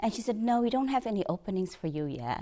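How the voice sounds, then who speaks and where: The speaker talks very fast with a Filipino accent. The pitch swings very widely. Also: woman. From Philippines, Batangas City. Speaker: bank executive. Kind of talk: interview testimony. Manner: halting, with fillers and restarts.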